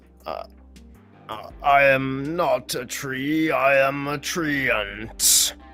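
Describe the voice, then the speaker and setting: A man's put-on character voice, fairly high in pitch and very slow, over faint background music. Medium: actual play. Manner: slow, literal, matter-of-fact.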